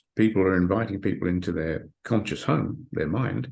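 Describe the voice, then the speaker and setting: A man talks in a fairly low pitch. His voice is somewhat breathy. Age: 60s. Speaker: hypnotherapist and author. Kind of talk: interview. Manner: halting, repeats words.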